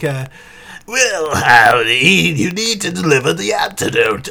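A man puts on a raspy, growling character voice at a fairly high pitch. He speaks at a fairly slow pace.

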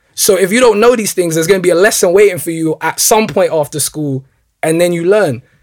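A man speaks at a high pitch. His pace is very fast. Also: ordinary pitch variation. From Northwest London, England. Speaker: former academy footballer. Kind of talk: casual interview.

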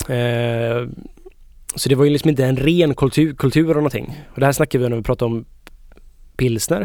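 A man at medium pitch talks at a fairly quick pace. He leaves long, frequent pauses. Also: fairly even intonation. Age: 30s. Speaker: beer expert co-host. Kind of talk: casual chat.

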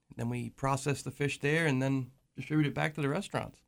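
An ordinary speaking voice moves at a fairly quick pace with fairly even intonation, over a silent background in a very clean recording. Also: man. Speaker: fisherman and seafood seller. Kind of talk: casual radio interview. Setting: radio studio.

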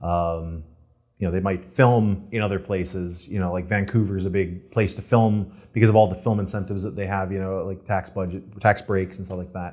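In an American accent, a man speaks at a fairly quick pace with a very deep, low pitch and monotone, flat intonation. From Michigan, Monroe near Detroit. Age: 30s. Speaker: screenwriter. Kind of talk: casual chat. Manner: halting, many fillers.

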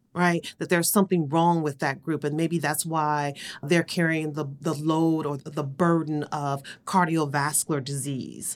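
With an American accent, a woman speaks in a very deep, low voice with monotone, flat intonation. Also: moderate pace, very clean recording, silent background. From US Midwest, Cleveland, Ohio. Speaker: public health executive. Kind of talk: interview.

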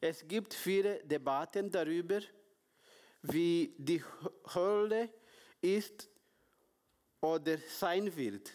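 Speaking at a very slow pace with long, frequent pauses, a man with a non-native accent holds a high pitch and ordinary pitch variation. His loudness stays very even. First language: not German (speaking German). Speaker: preacher. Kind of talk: sermon. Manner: halting.

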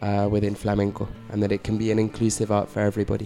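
A dark, mellow tone with a London accent. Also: man. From London, England. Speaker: flamenco guitarist. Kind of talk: round-table discussion.

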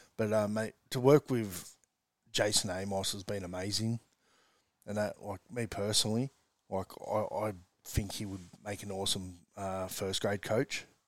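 With an Australian accent, a man speaks at a moderate pace in a fairly low pitch, his intonation fairly even, with long, frequent pauses, the sound dry and close with no echo, and the recording very clean against a silent background. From Australia, western Sydney. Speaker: rugby league coach. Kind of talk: casual chat.

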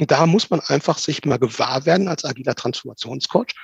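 An unremarkable speaking voice with lively intonation moves at a moderate pace in a dry, close sound with no echo. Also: man. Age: 50s. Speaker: agile transformation coach. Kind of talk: interview.

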